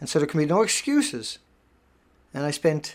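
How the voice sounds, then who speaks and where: Animated in tone, a man speaks at fairly high pitch. The recording is very clean, with a silent background. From Canada. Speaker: live stream host. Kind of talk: live stream monologue.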